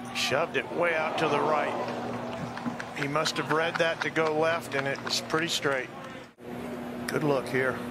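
Over noticeable background noise, a man talks at a fairly slow pace in a fairly high pitch with fairly even intonation. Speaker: golf broadcast analyst. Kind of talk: sports commentary. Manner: analytical, measured broadcast-booth delivery.

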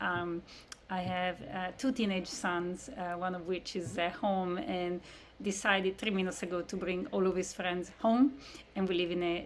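A woman talks with ordinary pitch variation over light background noise. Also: moderate pace. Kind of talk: presentation to prospective parents. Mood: warm, slightly emotional. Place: home room.

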